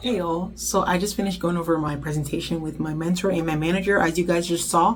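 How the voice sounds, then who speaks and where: Through noticeable background noise, a woman talks at a very fast pace in a fairly low pitch with fairly even intonation. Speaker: intern vlogger. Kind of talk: vlog talk to camera.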